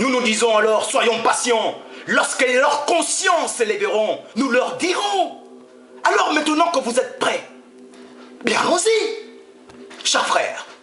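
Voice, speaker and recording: Speaking at a very slow pace in a raised, projected voice, this speaker holds a very even loudness while the pitch swings very widely, with music playing in the background and audible echo from the room. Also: man, extremely high pitch for a man. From Gabon. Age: 70s. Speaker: freemason speaker. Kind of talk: address to an audience.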